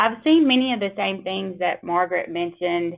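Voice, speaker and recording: A woman speaks with a Mississippi accent. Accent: Southern US, Mississippi. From US South, Mississippi. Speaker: attorney. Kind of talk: webinar presentation. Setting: webinar call.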